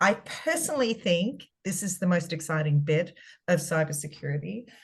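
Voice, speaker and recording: A somewhat breathy woman in a strong Australian accent, fairly low in pitch, with ordinary pitch variation and a moderate pace. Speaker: cybersecurity consultant. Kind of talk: webinar presentation. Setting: video call webinar.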